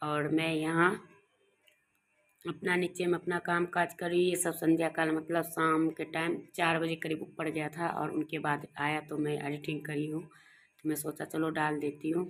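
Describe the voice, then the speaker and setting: A woman's very deep, low voice with monotone, flat intonation, on a very clean recording with a silent background. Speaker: home vlogger. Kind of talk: casual vlog talk. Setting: at home, rooftop.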